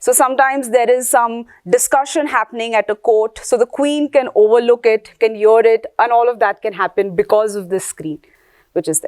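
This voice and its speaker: A normal speaking voice at a moderate pace, the sound dry and close with no echo. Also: woman, fairly high pitch for a woman, ordinary pitch variation. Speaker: workshop lecturer. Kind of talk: lecture.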